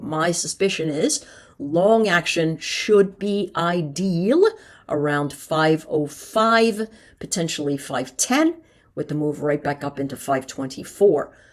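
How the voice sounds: Putting on a character voice, a woman speaks hoarsely at a moderate pace and a fairly low pitch.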